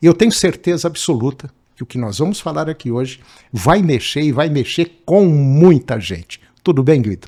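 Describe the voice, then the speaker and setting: This man has a dark, mellow tone and a fairly high pitch. His intonation is lively and his pace moderate. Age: 70s. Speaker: podcast host. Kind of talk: interview podcast.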